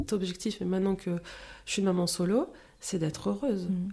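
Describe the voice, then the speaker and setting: Recorded very cleanly against a silent background, a woman speaks in a medium pitch with a dark, mellow tone and ordinary pitch variation. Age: 30s. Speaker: entrepreneur. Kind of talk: casual chat.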